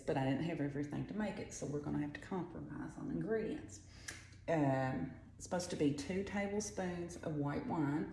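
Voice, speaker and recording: Lively intonation and a fairly quick pace mark this woman's very deep, low voice, heard with audible room echo. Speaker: home cook. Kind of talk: cooking tutorial. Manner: quiet; chatty.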